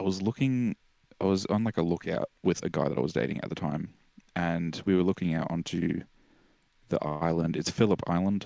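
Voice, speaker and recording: Speaking fairly quickly, a man with a very deep, low pitch and a dark, mellow tone uses ordinary pitch variation. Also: very clean recording, silent background. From Australia. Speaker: musician. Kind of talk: casual chat. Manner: halting, many fillers and restarts.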